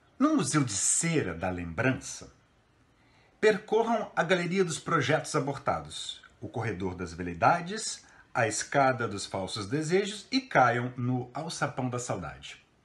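A man's theatrical delivery with very wide pitch swings, vocal fry and a fairly slow pace. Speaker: theatre professor reading a poem. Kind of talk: poetry reading aloud, a literary text delivered with dramatic interpretation. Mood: expressive, theatrical recitation. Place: home room. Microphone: phone near.

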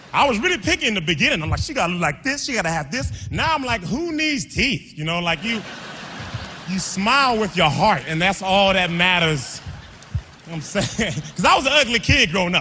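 A raised, projected voice moves at a fairly quick pace with very wide pitch swings. Light background noise sits underneath. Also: man, high pitch for a man. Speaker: stand-up comedian. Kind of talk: stand-up comedy set. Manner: high-energy. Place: stage. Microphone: handheld.

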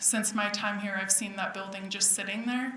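There is audible room echo around a woman's voice. Noticeable background noise runs underneath. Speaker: public commenter at town meeting. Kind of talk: public comment testimony.

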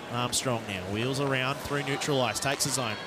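Over clear background noise, the speech moves at a moderate pace with fairly even intonation. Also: man, medium pitch for a man.

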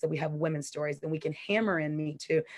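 A woman in an American accent uses an unremarkable speaking voice, fairly low in pitch with ordinary pitch variation, at a moderate pace. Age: 30s. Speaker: community activist. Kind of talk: interview.

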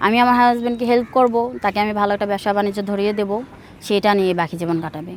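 Fairly even in intonation, a woman talks at a medium pitch in an ordinary speaking voice. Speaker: returned migrant worker seeking a spouse. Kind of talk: staged entertainment interview.

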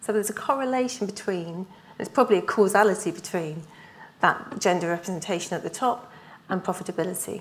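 A woman's very fast speech with ordinary pitch variation. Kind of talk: conference presentation. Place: hall.

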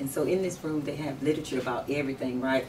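A woman's very deep, low voice at a very fast pace, fairly even in intonation, over light background noise. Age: 50s. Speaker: sheriff candidate. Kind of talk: interview. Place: home room.

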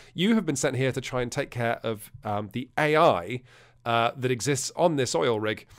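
A man speaks with an English accent and ordinary pitch variation. The background is quiet. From England. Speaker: board game reviewer. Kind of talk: casual explanatory presentation. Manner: hesitant with fillers.

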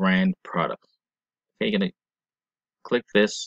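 A man's voice with vocal fry and very wide pitch swings, dry and close with no echo. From Jamaica. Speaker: online marketing tutorial maker. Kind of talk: screencast tutorial. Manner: hesitant, many fillers.

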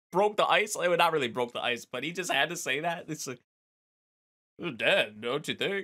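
With a bright, sharp, animated tone and a high pitch, a man speaks at a moderate pace in a quiet setting. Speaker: anime reaction youtuber. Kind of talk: casual reaction commentary. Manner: animated, laughs often. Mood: amused, excited.

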